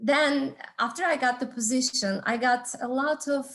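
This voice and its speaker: A woman with a Turkish accent speaks with ordinary pitch variation. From Turkey. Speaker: entrepreneurship instructor and business consultant. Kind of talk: talk to an audience. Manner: halting, with frequent fillers.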